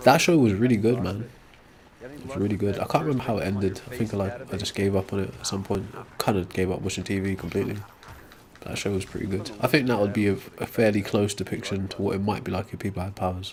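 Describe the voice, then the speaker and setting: Someone mumbles at a very fast pace, with ordinary pitch movement. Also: man, fairly low pitch for a man. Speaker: live streamer. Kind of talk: casual chat. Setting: live stream. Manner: mumbling.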